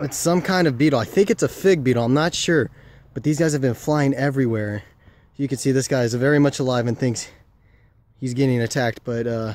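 A man talks at a fairly quick pace with ordinary pitch variation, his voice dry and free of echo. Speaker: nature vlogger. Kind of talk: casual vlog chat. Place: garden. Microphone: phone near.

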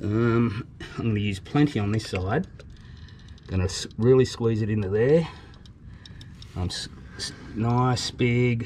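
Very slow speech in an Australian accent, with long, frequent pauses and light background noise. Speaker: YouTube travel vlogger. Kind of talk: DIY tutorial. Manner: casual, halting with fillers. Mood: relaxed, cheerful. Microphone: phone near.

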